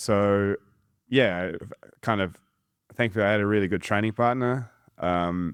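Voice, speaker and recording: Speaking at a moderate pace with a New Zealand accent, a man uses a fairly low pitch and leaves long, frequent pauses. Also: fairly even intonation. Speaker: judo coach. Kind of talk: casual chat.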